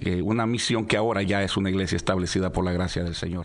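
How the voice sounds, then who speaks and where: With ordinary pitch variation, a man talks at a very fast pace in a fairly low voice. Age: 50s. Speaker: pastor. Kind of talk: radio interview, personal testimony.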